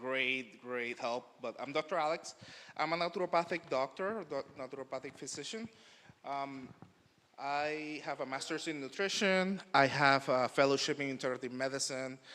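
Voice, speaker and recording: The tone is bright and sharp, with a Spanish accent. The pace is moderate and pitch variation ordinary. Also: man, fairly high pitch for a man. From Puerto Rico. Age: young. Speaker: naturopathic doctor. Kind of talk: conference talk. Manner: halting.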